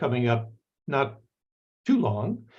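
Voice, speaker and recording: This man's voice is medium in pitch and somewhat breathy, and his delivery is fairly slow. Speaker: anthropologist. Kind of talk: lecture. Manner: halting.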